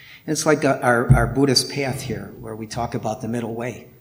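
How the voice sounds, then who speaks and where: Noticeable background noise surrounds a man talking at a medium pitch. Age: 60s. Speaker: lay Buddhist practitioner and artist giving a talk. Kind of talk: dharma talk. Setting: temple hall with audience.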